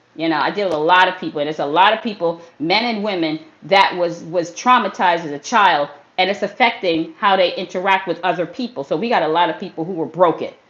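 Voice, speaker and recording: A woman talks at a very fast pace, her pitch fairly low. Noticeable background noise runs beneath her voice. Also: ordinary pitch variation. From US Northeast, Brooklyn, New York. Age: 50s. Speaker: fitness trainer. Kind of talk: motivational livestream talk. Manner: animated; casual street slang.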